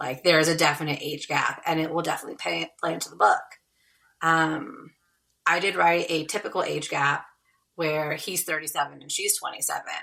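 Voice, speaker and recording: A woman with a Californian accent speaks at a fairly quick pace in a very deep, low voice, her tone bright and sharp and her intonation fairly even. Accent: Californian American. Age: 30s. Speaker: romance author. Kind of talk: podcast interview.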